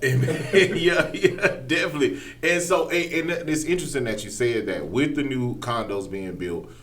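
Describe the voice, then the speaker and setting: Over noticeable background noise, the voice swings very widely in pitch at a moderate pace with hardly any pauses. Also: man. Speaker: podcast host. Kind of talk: podcast interview questions.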